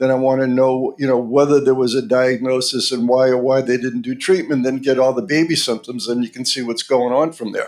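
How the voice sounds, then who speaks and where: This man, who has a medium pitch, talks with a Boston accent. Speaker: pediatric dentist. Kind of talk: interview podcast.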